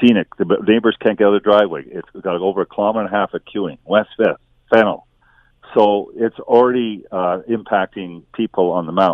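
Fairly quick delivery in a normal speaking voice, its pitch moving in an ordinary way. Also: man, fairly low pitch for a man. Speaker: city councillor. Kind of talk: radio interview.

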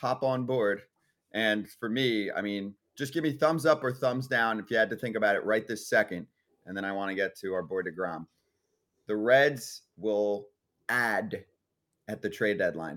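In a very clean recording with a silent background, a man speaks at a moderate pace. His pitch varies in an ordinary way, and he takes long, frequent pauses. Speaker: sports radio host. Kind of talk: casual sports talk show banter. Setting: studio.

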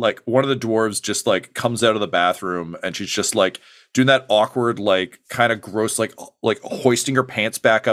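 The voice reads naturally, with ordinary pitch variation.

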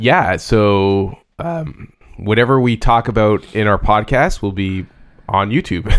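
In a Canadian accent, a man talks fairly slowly in a normal speaking voice, fairly low in pitch with ordinary pitch variation. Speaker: podcast co-host. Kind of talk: casual chat.

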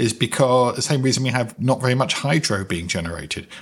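Lively intonation in a British accent, on a very clean recording with a silent background. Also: man. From Britain. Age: 50s. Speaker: podcast host, finance. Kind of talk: interview.

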